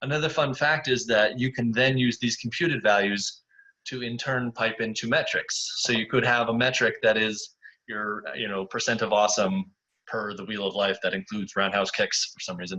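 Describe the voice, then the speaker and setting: A man speaks in a medium-pitched voice with a bright, sharp tone. His pitch varies in an ordinary way. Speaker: software company webinar presenter. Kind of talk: webinar software demo. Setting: online webinar. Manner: casual, upbeat; fast.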